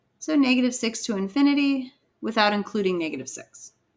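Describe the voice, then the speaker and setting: Here a woman speaks with a plain, everyday voice at a fairly quick pace. Her intonation is lively. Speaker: high school math teacher. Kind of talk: lecture.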